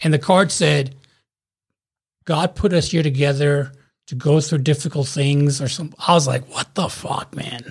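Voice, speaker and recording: Somewhat breathy, a man speaks at a fairly slow pace with a fairly high pitch and fairly even intonation. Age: 40s. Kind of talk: casual chat. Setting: video call.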